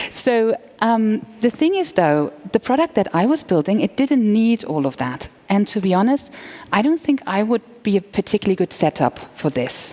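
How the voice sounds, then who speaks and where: A woman's voice with very wide pitch swings and very even loudness, dry and close with no echo, over noticeable background noise. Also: fairly high pitch for a woman, moderate pace. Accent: German. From Germany. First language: German. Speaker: entrepreneur. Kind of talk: conference talk. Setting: stage with audience.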